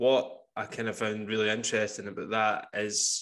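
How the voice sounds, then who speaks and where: The speaker has a Scottish accent and a fairly slow pace. The intonation is monotone and flat. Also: man. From Scotland, Campbeltown, west coast. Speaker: podcast host. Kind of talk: casual interview chat.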